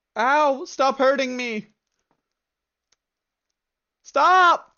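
This is a put-on character voice that sounds female. Its pitch is high for a woman. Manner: crying, pleading.

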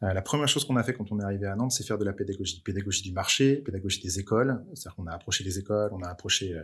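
A man speaks very fast in a somewhat breathy voice at a fairly low pitch, with ordinary pitch variation, on a very clean recording with a silent background. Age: 30s. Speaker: motion design studio cofounder and school director. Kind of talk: interview conversation.

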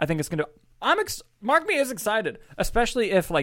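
A man talks at a very fast pace. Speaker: independent filmmaker and podcast host. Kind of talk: casual chat. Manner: fast talker.

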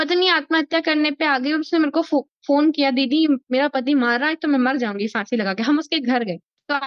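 Her voice sits high, with pitch that rises and falls in an ordinary way. She talks at a moderate speed, and it's a woman speaking. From Madhya Pradesh, India (Sehore district, Malwa). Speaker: mountaineer and scuba diver. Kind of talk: interview. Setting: virtual studio.

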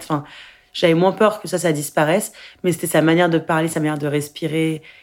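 The recording is very clean, and the background is silent. A woman speaks with a fairly low pitch. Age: 20s. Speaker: actress and film director. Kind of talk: interview testimony. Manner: halting.

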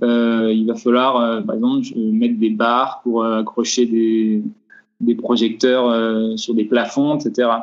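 At a very slow pace, a man speaks with a medium pitch and monotone, flat intonation. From France, Vosges. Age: 20s. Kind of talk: interview. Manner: halting.

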